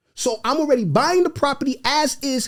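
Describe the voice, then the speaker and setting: The man's tone is animated. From New York, of Haitian parents. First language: Haitian Creole. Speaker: real estate investor. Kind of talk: podcast interview.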